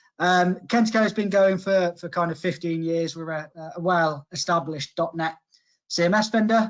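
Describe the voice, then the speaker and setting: A man with a Coventry accent, fairly quick in pace, with fairly even intonation. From Coventry, England. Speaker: software sales manager. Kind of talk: webinar presentation. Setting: online webinar.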